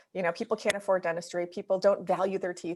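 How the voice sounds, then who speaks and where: In a Wisconsin accent, a woman speaks at a medium pitch with monotone, flat intonation. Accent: Wisconsin accent, sounds slightly Canadian. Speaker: dental practice consultant. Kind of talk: webinar presentation. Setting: video webinar.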